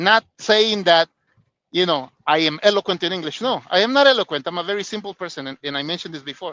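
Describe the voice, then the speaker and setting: Talking at a very fast pace with a Spanish accent, a man uses a high, bright, sharp voice and lively intonation, recorded dry and close with no echo. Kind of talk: casual chat. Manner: halting, many fillers.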